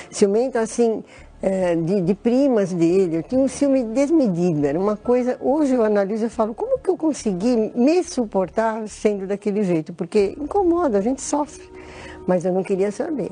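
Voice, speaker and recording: Through noticeable background noise, a woman's fairly high voice swings very widely in pitch. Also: moderate pace. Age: 60s. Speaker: church member giving testimony. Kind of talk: testimony. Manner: halting.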